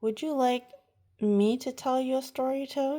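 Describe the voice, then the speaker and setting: A woman in a put-on character voice projects loudly at a high pitch, speaking at a moderate pace. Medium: read story.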